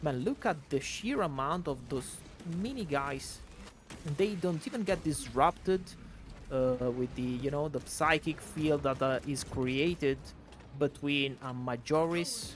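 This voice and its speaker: Speaking at a fairly slow pace, a man with an Italian accent uses a fairly high pitch and ordinary pitch variation. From Italy. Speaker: gaming video creator. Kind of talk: gameplay commentary. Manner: casual, hesitant with fillers.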